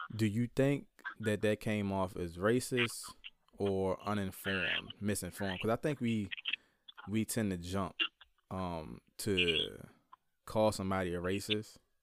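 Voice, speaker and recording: A man with an American accent speaks in a fairly low pitch with ordinary pitch variation. His pace is fairly slow, with long, frequent pauses. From rural Virginia, Caroline County. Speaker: podcast host, social worker. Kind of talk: casual chat.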